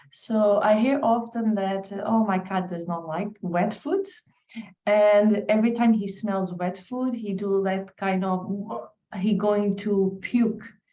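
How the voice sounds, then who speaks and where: A woman's somewhat breathy, dark, mellow voice at medium pitch, with a Portuguese accent, ordinary pitch variation and a very slow pace. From Portugal. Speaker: webinar attendee asking a question. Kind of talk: question in webinar. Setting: online webinar.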